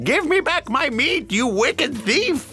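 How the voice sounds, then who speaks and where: Over clear background music, a high-pitched, put-on character voice speaks at a fairly slow pace. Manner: angry, indignant.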